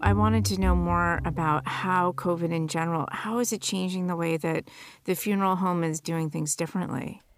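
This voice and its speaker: In an ordinary speaking voice, a woman talks quite quickly at a fairly low pitch with lively intonation. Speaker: executive producer and host. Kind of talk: scripted narration. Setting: studio.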